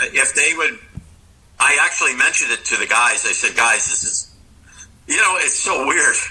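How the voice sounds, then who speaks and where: A man talks with long, frequent pauses over noticeable background noise. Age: 60s. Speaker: rock guitarist. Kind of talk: casual interview chat. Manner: halting, many fillers and restarts.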